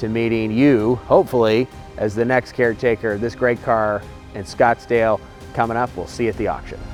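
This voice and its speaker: A man's medium-pitched voice at a fairly quick pace, fairly even in intonation, with music in the background. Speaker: auction house representative. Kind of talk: promotional video presentation to camera. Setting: outdoors next to the car.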